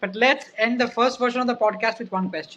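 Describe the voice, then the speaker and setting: A woman talks at a fairly quick pace and fairly high pitch, with an Indian accent. Her intonation is fairly even. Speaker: podcast host. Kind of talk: interview.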